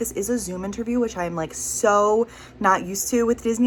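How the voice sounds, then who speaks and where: Noticeable noise sits in the background. Over it, a woman talks. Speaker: vlogger. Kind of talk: interview answers; casual vlog talk to camera. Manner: quiet; fast, rambling.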